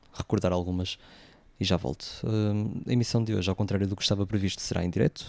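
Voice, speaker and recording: The speaker is a man. His pitch sits fairly low. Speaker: radio host. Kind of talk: radio music show presenting. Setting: live radio broadcast away from home. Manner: hesitant, many fillers. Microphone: different equipment, voice sounds distorted.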